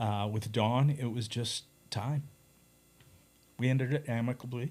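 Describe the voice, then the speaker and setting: A man with a Canadian accent, somewhat breathy, at a medium pitch with fairly even intonation and a fairly slow pace. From Canada. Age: 60s. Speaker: record label owner and artist manager. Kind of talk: casual interview chat.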